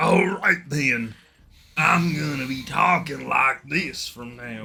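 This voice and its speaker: The voice is a put-on character voice with a raspy quality. It moves at a fairly slow pace. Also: man, medium pitch for a man. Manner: playful, joking.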